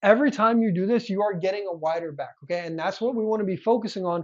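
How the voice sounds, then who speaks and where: Here a man speaks with a high pitch. His tone is animated. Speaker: fitness youtuber and coach. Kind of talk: tutorial. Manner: fast.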